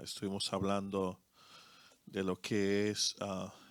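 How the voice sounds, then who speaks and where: A man with a Dominican accent and a fairly low pitch speaks at a very slow pace in a dry, close recording with no echo and a very clean, silent background. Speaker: co-pastor. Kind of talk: sermon. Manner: halting, many fillers.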